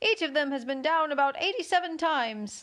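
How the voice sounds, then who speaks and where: Using a put-on character voice, a woman speaks at a high pitch with lively intonation. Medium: read story.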